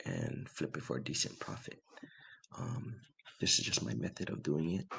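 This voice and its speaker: A quiet, raspy man speaks at a very deep, low pitch with vocal fry and very wide pitch swings. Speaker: sports card collector. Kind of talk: casual talk to camera.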